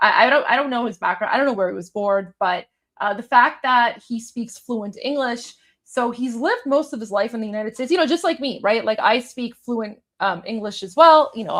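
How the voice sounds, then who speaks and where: A woman with a Toronto accent speaks at a fairly quick pace in a high voice with ordinary pitch variation. The recording is very clean, with a silent background. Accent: Canadian, Toronto. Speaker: political commentator. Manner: many filler words, conversational.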